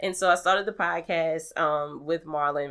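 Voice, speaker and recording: An American-accented woman with an unremarkable speaking voice talks at a moderate pace and fairly low pitch with fairly even intonation, in a very clean recording with a silent background. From New Orleans, US South. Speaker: podcaster and radio personality. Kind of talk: casual conversational interview.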